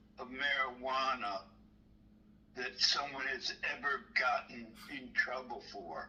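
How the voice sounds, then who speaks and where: This man has an American accent. He speaks at a very slow pace. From Maryland. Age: 60s. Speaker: caller. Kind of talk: phone call. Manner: halting.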